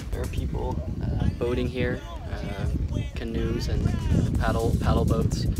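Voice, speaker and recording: Loud music plays behind a man whose voice has a dry sound with no echo. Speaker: travel vlogger. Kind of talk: casual vlog chat. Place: open country. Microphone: phone near.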